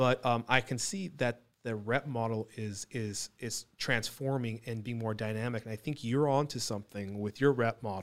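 On a very clean recording with a silent background, a man with a medium pitch speaks at a moderate pace, with ordinary pitch variation and hardly any pauses. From US West Coast, Orange County. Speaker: podcast host, electronic components business. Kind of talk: casual interview chat.

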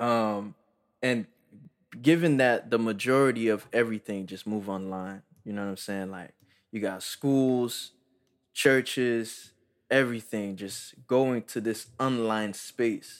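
Man at a medium pitch, fairly slow pace, ordinary pitch variation and big swings in loudness, on a very clean recording with a silent background. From USA. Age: young. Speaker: podcast co-host. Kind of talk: casual chat.

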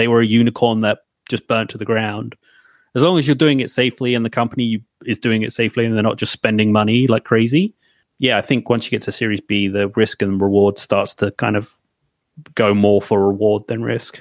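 A plain, everyday voice from a man at medium pitch, fairly quick pace and fairly even intonation, on a very clean recording with a silent background and a dry, close sound with no echo. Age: 30s. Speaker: developer advocate. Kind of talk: casual chat.

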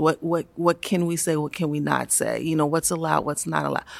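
A woman speaks in a very deep, low voice with an American accent. Her intonation is monotone and flat. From Baltimore, US. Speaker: education policy staffer. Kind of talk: interview conversation. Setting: recorded at a conference.

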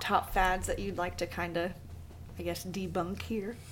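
A woman talking at a fairly slow pace. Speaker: gym coach and podcast host. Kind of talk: casual interview chat.

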